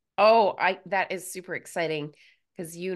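Against a quiet background, a woman speaks fairly slowly in an ordinary speaking voice, pitched fairly low. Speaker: podcast host. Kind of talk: scripted intro then interview chat.

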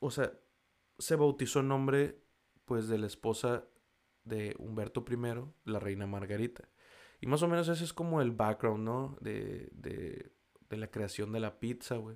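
A man with a Mexican accent, medium-pitched and animated, at a fairly slow pace with ordinary pitch variation and long, frequent pauses. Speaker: podcast host. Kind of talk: casual monologue. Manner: casual, slangy and animated.

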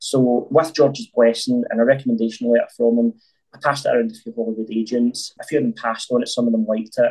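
A man speaks with a Glaswegian accent. His pace is very fast. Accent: Glaswegian Scottish. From Scotland, North Glasgow. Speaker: filmmaker. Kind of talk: interview.

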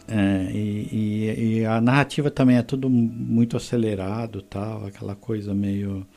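A man speaks at a fairly slow pace with hardly any pauses, in a fairly low pitch. His tone is dark and mellow, and his intonation stays fairly even. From Mogi das Cruzes, São Paulo, Brazil. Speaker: podcast host. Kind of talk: casual chat.

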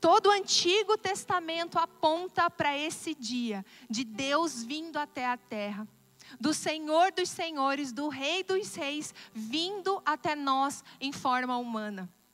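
Very slowly, a woman speaks in a high pitch with very wide pitch swings. The sound is dry and close, with no echo. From Brazil, interior of Paraná (Assis Chateaubriand). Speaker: pastor. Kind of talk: sermon.

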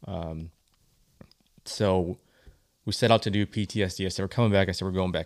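Speaking at a fairly quick pace but with long, frequent pauses, a man with an Upper Midwest accent uses a very deep, low voice and fairly even intonation, the sound dry and close with no echo. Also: very clean recording, silent background. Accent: Upper Midwest American. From Michigan. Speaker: archery event organizer. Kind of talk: podcast interview. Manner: halting, many fillers.

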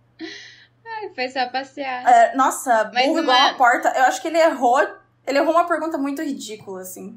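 This woman's voice sits high, with lively intonation at a moderate pace. Her loudness swings a lot. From Brazil, interior of Paraná (Guarapuava). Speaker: podcaster, guest. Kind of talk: casual chat.

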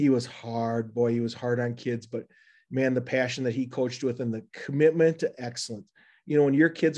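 A man with an American accent speaks in a normal speaking voice at medium pitch and a fairly quick pace, with fairly even intonation against a quiet background. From Minnesota, Rochester. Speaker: school administrator and former coach. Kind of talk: interview.

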